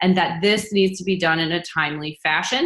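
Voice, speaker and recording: A woman with a plain, everyday voice speaks at a fairly quick pace and medium pitch. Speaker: physician assistant school admissions coach. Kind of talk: webinar presentation and Q&A. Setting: online webinar.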